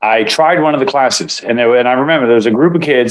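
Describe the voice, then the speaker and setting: Speech from a man, its pitch varying in an ordinary way. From Israel, moved to US at seven. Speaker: martial arts instructor and acupuncturist. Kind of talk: interview. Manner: casual with many fillers.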